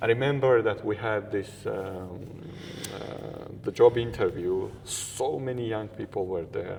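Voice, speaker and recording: A man speaks fairly slowly while noticeable background noise fills the clip. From Georgia. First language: Georgian. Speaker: interview guest. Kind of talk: interview conversation.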